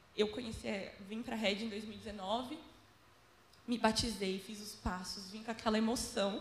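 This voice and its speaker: With noticeable background noise, a woman speaks at a fairly high pitch with fairly even intonation, big swings in loudness and long, frequent pauses. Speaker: church volunteer photographer. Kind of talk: testimony.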